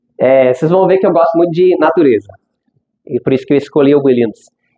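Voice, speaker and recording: This is a man speaking. He has an English accent. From United States. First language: English (speaking Portuguese). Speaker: language school founder, speaker. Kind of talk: conference talk. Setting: stage with audience.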